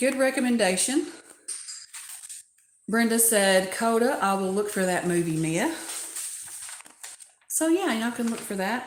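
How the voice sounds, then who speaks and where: With audible room echo, a woman with a fairly high pitch uses lively intonation at a fairly slow pace, leaving long, frequent pauses. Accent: Southern US. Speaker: doll collecting YouTuber. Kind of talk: livestream community chat.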